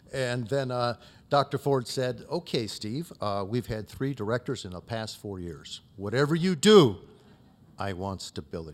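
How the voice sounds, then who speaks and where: This man has a medium-pitched voice and lively intonation. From US Midwest, Youngstown, Ohio. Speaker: MBA program director. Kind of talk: anniversary gala speech. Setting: gala event with audience. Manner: fast.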